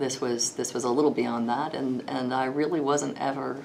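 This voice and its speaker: A woman with a Texas accent speaks at a moderate pace with a very deep, low pitch and fairly even intonation, amid audible room echo and noticeable background noise. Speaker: lawyer. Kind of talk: interview. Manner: hesitant, many fillers.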